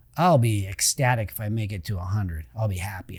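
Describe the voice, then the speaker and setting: Somewhat breathy, a man's voice comes through a very clean recording with a silent background. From California, Roseville. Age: 50s. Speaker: entrepreneur and podcast host appearing as guest. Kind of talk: casual interview chat. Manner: hesitant, many fillers.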